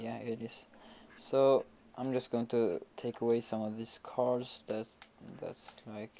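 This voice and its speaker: Very slowly and with long, frequent pauses, a man speaks at a medium pitch. His tone is dark and mellow, his intonation flat and monotone. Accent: Swedish. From Sweden. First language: Swedish. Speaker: gaming youtuber. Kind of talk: gameplay commentary. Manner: hesitant, many fillers.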